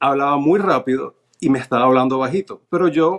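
Against a quiet background, a man speaks fairly slowly at a fairly high pitch with ordinary pitch variation. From Venezuela. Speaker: naturalization applicant, cruise ship worker; interview guest. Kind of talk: interview, personal testimony; interview answer. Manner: halting, frequent fillers and repetitions. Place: home room. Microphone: video call.

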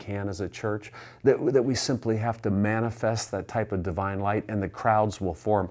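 An ordinary speaking voice from a man, fairly low in pitch, at a moderate pace with fairly even intonation against a quiet background. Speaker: pastor. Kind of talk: sermon. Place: church. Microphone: lapel.

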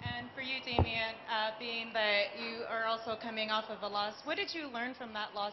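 A woman's fairly even intonation comes through noticeable background noise. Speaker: MMA journalist. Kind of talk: press conference. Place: hall.

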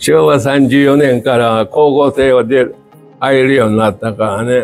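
A man's voice with fairly even intonation over faint background music. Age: 80s+. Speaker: interviewee. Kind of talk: interview answer. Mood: cheerful, laughing. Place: hall. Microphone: lapel.

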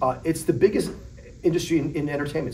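A man's voice over light background noise. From US Midwest (Chicago area). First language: Polish. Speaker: entrepreneur and venture investor. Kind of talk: interview. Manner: casual, conversational, frequent filler 'right?'. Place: studio.

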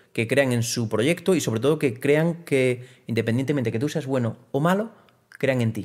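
A man at a medium pitch and moderate pace, with ordinary pitch variation, over a quiet background. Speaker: trial bike rider and entrepreneur; podcast guest. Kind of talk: interview conversation. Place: studio.

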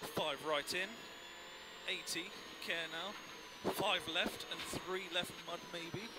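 Over loud background noise, a man with a high pitch speaks at a very slow pace in a calm tone, leaving long, frequent pauses, and the sound is dry with no echo. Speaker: rally co-driver. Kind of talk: pace note calling. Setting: in a rally car on a stage, intercom. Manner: calm, encouraging with bursts of excitement near the finish. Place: car. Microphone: helmet.

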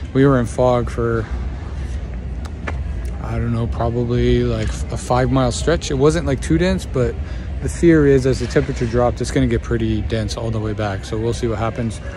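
The speech moves at a moderate pace with long, frequent pauses and ordinary pitch variation. The sound is dry with no echo, and there is noticeable background noise. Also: man, very deep, low pitch for a man. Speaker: stand-up comedian. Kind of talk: casual vlog chat. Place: street. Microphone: phone near.

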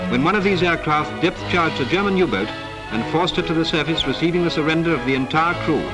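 A man at a very fast pace, with clear music in the background. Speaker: newsreel narrator. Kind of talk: wartime newsreel narration. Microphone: old recording.

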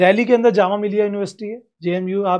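Intonation stays fairly even in a dark, mellow tone. The background is quiet. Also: man. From India. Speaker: education YouTuber, career guidance; education YouTuber. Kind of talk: career guidance talk to camera. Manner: conversational, direct address. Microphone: lapel.

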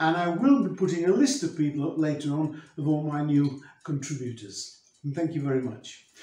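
A man speaks at a moderate pace, with room echo clearly audible. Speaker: presenter. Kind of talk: cooking tutorial intro. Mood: warm and friendly. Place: kitchen.

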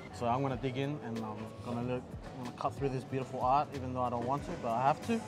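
Fairly quick speech over clear music in the background. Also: man. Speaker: food vlogger host. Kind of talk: casual food review chat. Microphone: lapel.

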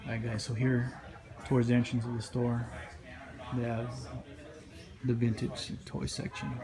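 With music in the background, a man speaks at a moderate pace in a monotone, flat intonation. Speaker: vlogger. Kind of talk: casual vlog chat. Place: shop. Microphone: phone near.

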